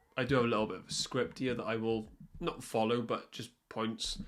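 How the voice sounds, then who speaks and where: Speaking with a Welsh accent, a man keeps a moderate pace at medium pitch. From Wales. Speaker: football commentator youtuber. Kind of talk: unscripted podcast monologue. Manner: occasional stutters and fillers; animated.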